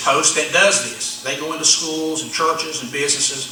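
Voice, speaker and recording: Over noticeable background noise and audible room echo, a man with an American accent talks at a fairly quick pace. His pitch is fairly high. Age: 60s. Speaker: pastor. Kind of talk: sermon-style talk to ministers.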